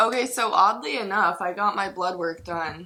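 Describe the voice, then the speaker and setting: A woman speaks in a fairly low voice with a bright, sharp, animated tone and ordinary pitch variation. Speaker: fitness vlogger. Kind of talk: casual video diary. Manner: chatty, animated.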